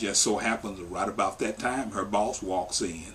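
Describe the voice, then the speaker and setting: Against noticeable background noise, a man talks at a fairly slow pace in a fairly low pitch with ordinary pitch variation. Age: 50s. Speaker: worker justice organization staff member. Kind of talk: interview testimony.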